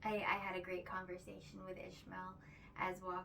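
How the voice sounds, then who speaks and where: Someone soft-spoken talks at a moderate pace amid noticeable background noise and audible room echo. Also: woman. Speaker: spiritual vlogger. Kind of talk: casual spiritual monologue. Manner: halting, many fillers.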